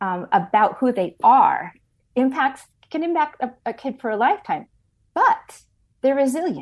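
A woman with a plain, everyday voice, lively intonation and a fairly slow pace. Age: 60s. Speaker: ministry leader, author and speaker. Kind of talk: interview testimony.

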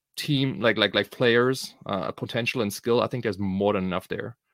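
In a German accent, a man speaks with lively intonation. The sound is dry and close with no echo, and the recording is very clean against a silent background. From Germany. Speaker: podcast host. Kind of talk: casual podcast chat.

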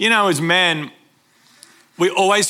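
A man's fairly slow delivery, bright and sharp in tone, with ordinary pitch variation. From Brisbane, Australia. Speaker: pastor. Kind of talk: sermon.

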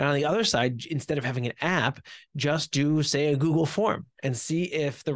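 A man with an American accent has an ordinary speaking voice, fairly high in pitch, with ordinary pitch variation. The sound is dry and close with no echo, over a quiet background. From US Northeast (New Jersey). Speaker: startup CEO. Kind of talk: interview.

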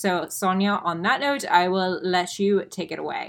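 A woman with an American accent speaks at a fairly slow pace in a medium pitch, with a plain, everyday voice, on a very clean recording with a silent background. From Florida, Tampa. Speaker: podcast co-host, nutrition coach. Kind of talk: casual chat.

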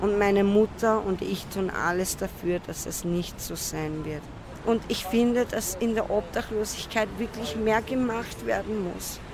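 A woman at a fairly slow pace, fairly even in intonation, over noticeable background noise. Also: medium pitch for a woman. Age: 20s. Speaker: homeless drug user. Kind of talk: interview.

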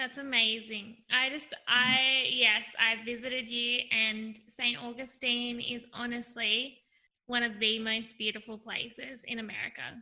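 A woman with a high pitch speaks fairly slowly in a monotone, flat intonation. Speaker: podcast host. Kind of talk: casual interview chat.

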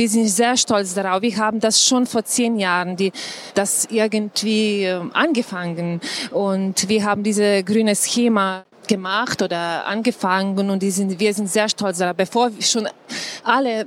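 Noticeable background noise surrounds a woman speaking at a moderate pace with a Slovenian accent. Her pitch is medium and her intonation fairly even. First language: Slovenian (speaking German). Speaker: tourism official. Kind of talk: panel talk. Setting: live audience at trade fair. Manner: halting.

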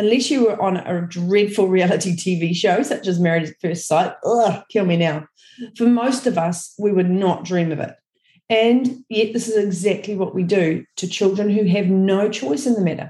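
The voice is dark, mellow and somewhat breathy, moving at a moderate pace with ordinary pitch variation. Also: woman, medium pitch for a woman. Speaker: early childhood educator. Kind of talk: podcast talk.

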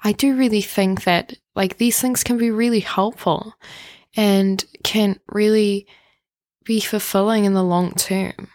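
A woman speaks in an ordinary speaking voice at a fairly slow pace, her medium pitch and fairly even intonation held at very even loudness, recorded very cleanly against a silent background with a dry, close sound and no echo. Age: 20s. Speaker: podcast host. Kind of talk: casual monologue.

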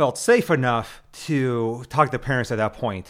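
In a very clean recording with a silent background, a man with an American accent speaks at a very slow pace. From Nebraska. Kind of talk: casual religious discussion.

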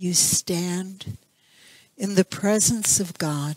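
Her pitch stays medium as the woman delivers her words at a very slow pace. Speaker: spiritual center minister leading meditation. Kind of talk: guided meditation, slow calm spoken prayer with long silences. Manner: soft-spoken, soothing, gentle.

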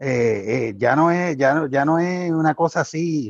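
A man with a fairly high pitch speaks at a very slow pace, recorded dry and close with no echo. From Puerto Rico, Cabo Rojo. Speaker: party activist. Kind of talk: panel discussion.

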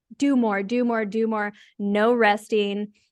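The background is quiet. It's a plain, everyday voice with fairly even intonation. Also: woman. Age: 40s. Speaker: life coach. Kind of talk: casual interview.

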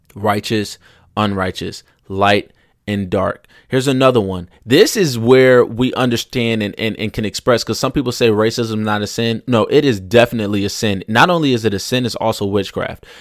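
The recording is very clean, with a silent background, as a man speaks at a moderate pace and medium pitch. His tone is animated, with ordinary pitch variation. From rural United States. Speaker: podcast host. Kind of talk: casual monologue.

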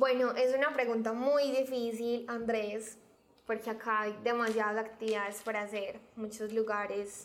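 Her pitch sits fairly high for a woman, and her pace is fairly slow. The intonation stays monotone and flat. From Colombia, Medellín (Antioquia). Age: 20s. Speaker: local guest. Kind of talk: interview.

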